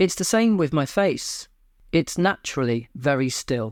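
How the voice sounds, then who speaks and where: Speech comes at a moderate pace. A British accent is heard. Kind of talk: personal talk to camera.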